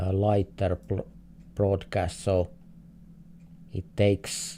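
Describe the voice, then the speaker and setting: A man speaks at a very slow pace in a Finnish accent, his voice very deep and low with a dark, mellow tone. He sounds somewhat breathy, with ordinary pitch variation. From Finland. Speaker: streamer, game host. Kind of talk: live gaming stream commentary. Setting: live stream. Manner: halting, repeats words.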